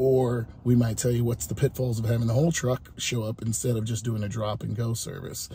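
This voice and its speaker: A man speaks at a fairly quick pace and medium pitch with hardly any pauses. His upbeat, dark, mellow tone is somewhat breathy. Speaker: food truck owner and vlogger. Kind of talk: casual vlog narration. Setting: on location at a food truck, catering a wedding. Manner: casual, upbeat, conversational.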